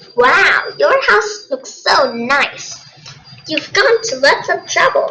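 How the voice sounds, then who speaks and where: A put-on character voice, extremely high, squeaky and nasal, with very wide pitch swings. It moves at a very slow pace. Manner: mocking.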